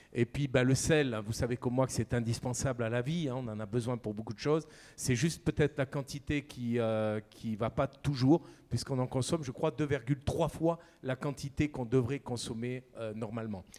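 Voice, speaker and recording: A man speaks with a Camargue accent. His intonation is fairly even. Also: medium pitch for a man, moderate pace. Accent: southern French (Camargue). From southern France, Camargue. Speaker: chef. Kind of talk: conference talk.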